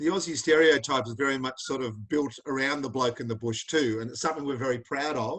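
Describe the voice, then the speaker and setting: A man with an Australian accent talks at a very fast pace and medium pitch. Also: ordinary pitch variation, hardly any pauses. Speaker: charity founder and interview host. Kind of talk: video call interview. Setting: video call. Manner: animated.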